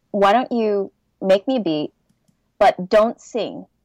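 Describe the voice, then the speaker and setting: With a Californian accent, a woman speaks at a very slow pace in a dry, close sound with no echo. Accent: Californian American. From Southern California. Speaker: nerdcore rapper. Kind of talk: casual chat.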